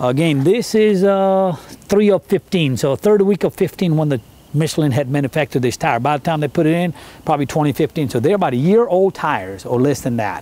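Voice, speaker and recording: A man talks at a fairly quick pace with a dark, mellow tone. The sound is dry, with no echo. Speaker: vehicle salesman. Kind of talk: sales walkaround commentary. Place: street. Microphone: camera far.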